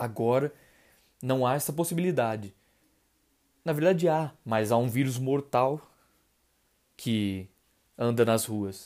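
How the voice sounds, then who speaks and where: Over a silent background on a very clean recording, a man of medium pitch speaks very slowly, with ordinary pitch variation and long, frequent pauses. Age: 20s. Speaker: podcast host, university student. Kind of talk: podcast monologue and chat.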